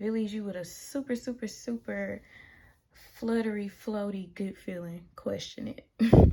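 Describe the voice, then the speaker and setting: Speaking at a fairly slow pace with a strong Southern US accent, a woman has a medium pitch and fairly even intonation. Her tone is dark and mellow, and somewhat breathy. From US South. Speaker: tarot reader. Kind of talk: tarot reading monologue. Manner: casual, with many filler ums.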